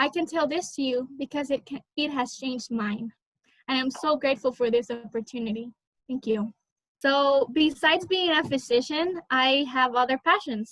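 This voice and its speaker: The speaker talks at a moderate pace with a Spanish accent and ordinary pitch variation. The sound is dry and close, with no echo. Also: woman, high pitch for a woman. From Honduras. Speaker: college student, scholarship recipient. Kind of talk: interview answer; prepared personal speech.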